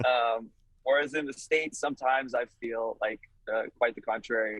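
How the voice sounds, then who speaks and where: At a moderate pace, a man with a slight Canadian accent talks at a medium pitch with fairly even intonation, in a dry, close sound with no echo. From Canada, Toronto area (Vaughan). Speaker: rock musician. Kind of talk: casual interview. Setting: video call from a touring van. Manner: hesitant, many fillers.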